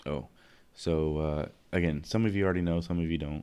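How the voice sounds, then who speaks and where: A man with a dark, mellow tone at a very fast pace. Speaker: podcast host and streamer. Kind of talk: live stream chat. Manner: halting.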